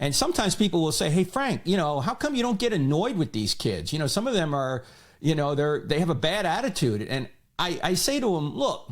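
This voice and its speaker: In a New Jersey accent, a man talks at a fairly quick pace and high pitch. His loudness stays very even while his pitch swings very widely. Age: 60s. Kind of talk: podcast interview.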